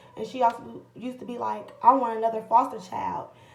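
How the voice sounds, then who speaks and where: A woman with a fairly high pitch speaks at a moderate pace. Audible room echo surrounds her voice. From Illinois, US. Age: 20s. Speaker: vlogger. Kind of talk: personal testimony. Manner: casual, halting.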